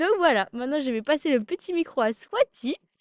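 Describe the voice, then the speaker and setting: A woman with a high pitch sounds animated, her voice making very wide pitch swings in a dry, close recording with no echo. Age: 20s. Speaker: podcast guest, student. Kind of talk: casual chat.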